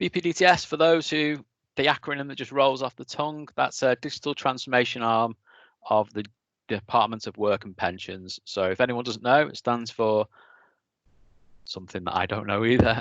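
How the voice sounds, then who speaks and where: Heard in a dry, close recording with no echo and a quiet background, a man speaks at a medium pitch with lively intonation. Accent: Lancashire. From northern England, East Lancashire. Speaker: technical engineering manager giving a talk. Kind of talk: presentation talk.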